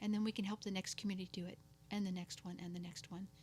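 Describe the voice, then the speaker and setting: Somewhat breathy, a woman talks in a monotone with flat intonation. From local to the host's area. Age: 50s. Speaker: abuse survivor and entrepreneur. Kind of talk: testimony.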